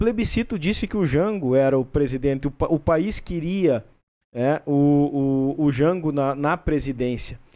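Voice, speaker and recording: A man with a southern Brazilian accent speaks at a fairly slow pace, his pitch fairly high and his tone dark and mellow. His pitch varies in an ordinary way and his loudness stays very even. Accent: gaúcho Brazilian Portuguese. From São Borja, Rio Grande do Sul; Rio Grande do Sul, Brazil. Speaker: state government official; interview guest. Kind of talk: broadcast interview. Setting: studio. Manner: halting. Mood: calm, explanatory about history. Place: studio. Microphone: studio mic.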